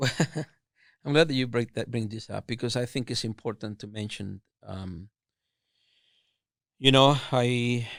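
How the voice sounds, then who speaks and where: A man speaks with a strong Mexican accent, leaving long, frequent pauses and swinging widely in loudness. The recording is very clean, with a silent background and a dry, close sound with no echo. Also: medium pitch for a man, ordinary pitch variation, fairly slow pace. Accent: thick Mexican Spanish. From Mexico, Chihuahua. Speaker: food business owner. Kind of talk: interview. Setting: podcast. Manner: halting, repeats words.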